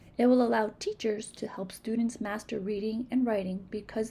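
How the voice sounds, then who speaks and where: A woman speaks at a moderate pace with a fairly high, somewhat breathy voice. Her tone is dark and mellow, and her intonation stays fairly even. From Massachusetts, New England. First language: Spanish. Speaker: reading teacher / literacy educator. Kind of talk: tutorial. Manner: self-correcting, repeats words.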